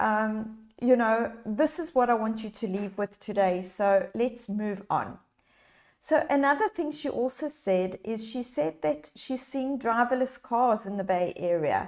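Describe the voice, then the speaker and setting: A woman speaks in a South African accent at a fairly high pitch. Her tone is animated, her intonation lively, and her pace fairly slow. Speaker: leadership coach. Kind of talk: live online workshop. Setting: livestream.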